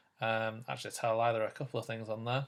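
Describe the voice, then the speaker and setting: This is a man speaking. He has a British accent. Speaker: teacher. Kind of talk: tutorial. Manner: fast.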